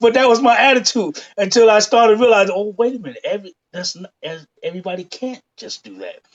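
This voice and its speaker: Extremely high-pitched, a man talks at a fairly quick pace with lively intonation. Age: 60s. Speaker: singer and songwriter. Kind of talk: interview. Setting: live online show.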